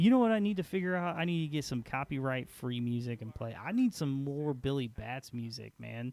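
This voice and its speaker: Here a man with an American accent speaks at medium pitch. His pace is moderate and his intonation lively. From Peoria, Illinois, US Midwest. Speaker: gaming streamer. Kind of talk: casual chat. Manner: loud, boisterous; quieter late at night. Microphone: quiet level through old mixer.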